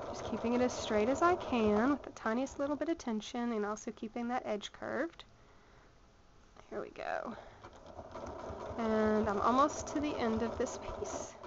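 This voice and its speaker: Speaking with a Southern US accent, a woman uses a high pitch and lively intonation. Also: moderate pace. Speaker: sewing tutor. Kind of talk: tutorial. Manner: casual, with frequent fillers.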